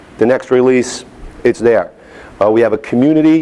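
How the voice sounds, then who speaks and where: In a New York accent, a man of medium pitch speaks at a moderate pace with fairly even intonation over noticeable background noise. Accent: New York accent, toned down. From New York City (Staten Island/Manhattan). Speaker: software company executive, conference speaker. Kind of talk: conference keynote.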